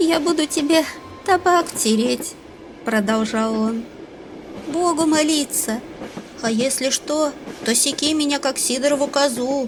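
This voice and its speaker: With music in the background, a woman speaks at a very slow pace with long, frequent pauses. Her high-pitched voice has ordinary pitch variation and very even loudness. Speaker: audiobook narrator. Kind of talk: audiobook reading of a classic short story.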